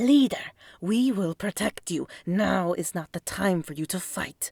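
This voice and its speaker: A woman's put-on character voice at a medium pitch and a fairly slow pace, in a very clean recording with a silent background. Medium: read story. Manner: controlled, falsely deferential.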